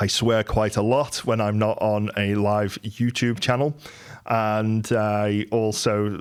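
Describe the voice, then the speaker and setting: A man with a Merseyside accent, fairly low pitch and fairly even intonation, on a very clean recording with a silent background. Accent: Merseyside twang. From Merseyside, England. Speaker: entrepreneur. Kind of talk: monologue. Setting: live YouTube stream.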